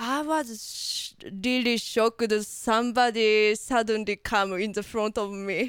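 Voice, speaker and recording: A woman speaks at a fairly slow pace with a fairly high pitch. Her pitch variation is ordinary. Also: hardly any pauses. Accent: Japanese. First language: Japanese. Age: 30s. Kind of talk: interview. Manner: halting.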